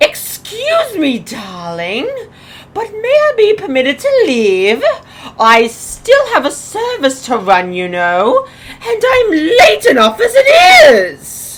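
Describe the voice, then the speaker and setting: A woman puts on a character voice, high-pitched and full of very wide pitch swings. She speaks at a fairly slow pace. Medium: audio drama. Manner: affected, calls others darling.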